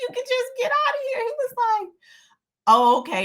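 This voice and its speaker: A woman with a Southern US accent talks in an animated tone, her pitch swinging very widely. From US South. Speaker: lifestyle vlogger. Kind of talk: casual storytelling monologue. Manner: stutters at times.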